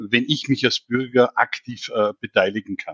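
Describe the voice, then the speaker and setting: A man's medium-pitched voice at a moderate pace. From Austria, Vienna. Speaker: digital government consultant. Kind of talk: expert interview. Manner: hesitant, many fillers.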